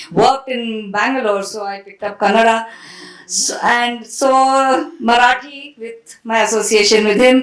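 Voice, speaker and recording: Amid noticeable background noise, a woman with a Tamil accent speaks fairly slowly in a fairly high voice, her intonation fairly even but her loudness swinging widely. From India. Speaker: author and translator. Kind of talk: panel discussion.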